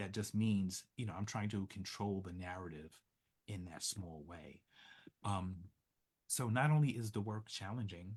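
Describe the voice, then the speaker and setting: Soft-spoken and somewhat breathy, a man with an American accent speaks with long, frequent pauses. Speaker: social work professor. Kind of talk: interview.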